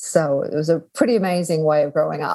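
The speaker is a woman with a fairly low voice. Her tone is dark and mellow, and her pace is fairly quick. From Australia. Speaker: guest, business/sustainability expert. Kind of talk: interview conversation.

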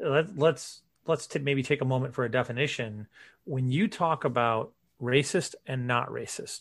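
Over a quiet background, a man with an unremarkable speaking voice talks at a moderate pace and medium pitch, with ordinary pitch variation. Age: 40s. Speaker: podcaster. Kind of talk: casual chat.

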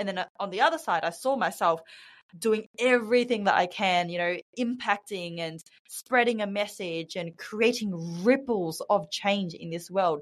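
Speaking at a moderate pace with an Australian accent, a woman uses a medium pitch and ordinary pitch variation. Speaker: women's career mentor and speaker. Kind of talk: casual interview. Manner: animated.

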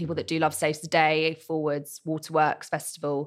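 A woman with a plain, everyday voice and a fairly low pitch speaks at a moderate pace. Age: 20s. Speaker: events producer. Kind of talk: interview. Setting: studio.

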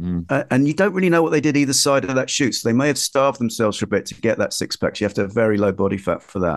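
Very fast and lively in intonation, a man speaks at a medium pitch. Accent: London. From East London (Ilford). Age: 50s. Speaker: magazine editor and journalist. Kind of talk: casual chat. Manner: halting.

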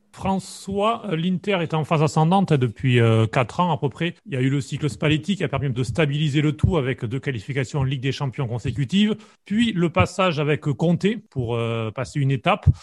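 Against a quiet background, a man with a fairly high, somewhat breathy voice talks fairly quickly with lively intonation, the sound dry and close with no echo. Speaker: podcast host. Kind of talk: podcast interview.

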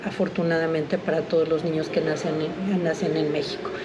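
A woman with a Mexican accent, plus noticeable background noise and audible room echo. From Mexico City. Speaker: pediatrician and metabolic disease expert. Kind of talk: expert interview. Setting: recorded at a conference.

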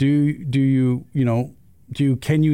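Medium pitch from a man with an American accent, a dark, mellow tone, and ordinary pitch variation. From Utah. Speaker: orthopedic surgeon. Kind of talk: interview.

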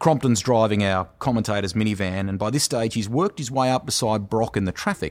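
A man rattles along at a very fast pace with hardly any pauses, his medium-pitched voice showing ordinary pitch variation on a very clean recording with a silent background. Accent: Australian. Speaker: motorsports commentator. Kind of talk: casual chat.

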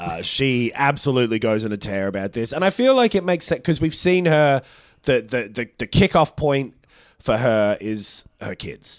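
In a very clean recording with a silent background, a man with an Australian accent speaks with very wide pitch swings. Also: medium pitch for a man, moderate pace. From Australia (Melbourne). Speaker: podcast co-host. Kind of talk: casual chat.

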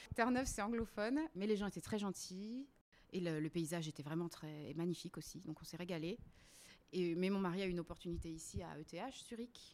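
Using a normal speaking voice, a woman talks at a fairly quick pace, fairly low in pitch, with ordinary pitch variation. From La Réunion. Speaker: website co-founder. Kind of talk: casual interview. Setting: at the host's home.

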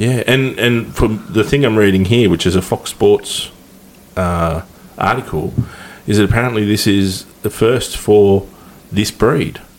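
A man with an Australian accent speaks fairly slowly at a fairly low pitch, with ordinary pitch variation and very even loudness. Noticeable background noise sits behind him. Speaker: podcast host. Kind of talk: casual chat. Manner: halting.

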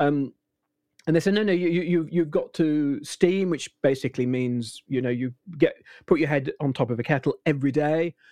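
A man with a British accent speaks at a moderate pace in a fairly high pitch, his dark, mellow tone showing ordinary pitch variation in a dry, close sound with no echo. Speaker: voice actor. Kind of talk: casual chat.

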